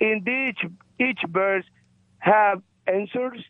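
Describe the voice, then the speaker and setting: This man talks at a very slow pace with a high pitch. His pitch variation is ordinary. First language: not English. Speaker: caller. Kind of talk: call-in question. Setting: phone call. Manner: halting, repetitive.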